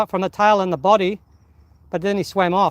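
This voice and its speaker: Loud and animated, a man with an Australian accent speaks at a high pitch with ordinary pitch variation, the sound dry and close with no echo. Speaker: fishing live streamer. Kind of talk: live stream commentary. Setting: outdoors on rocks by the water.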